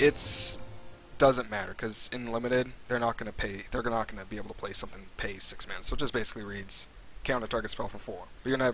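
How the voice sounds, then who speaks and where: Music plays in the background as a man talks very fast, his intonation fairly even. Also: medium pitch for a man. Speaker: game streamer. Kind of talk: set review on live stream. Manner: stuttering.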